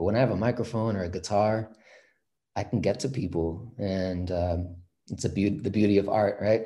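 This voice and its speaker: A man with a Californian accent talks at a moderate pace, his fairly low pitch carried by fairly even intonation. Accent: Californian American. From San Francisco Bay Area. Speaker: reggae band musician, singer. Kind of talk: casual interview.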